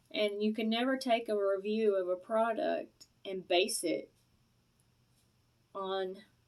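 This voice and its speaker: A woman speaks at a fairly high pitch with a Southern US accent. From US South. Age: middle-aged. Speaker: product reviewer vlogger. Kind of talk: casual vlog review. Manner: rambling, hesitant with many fillers.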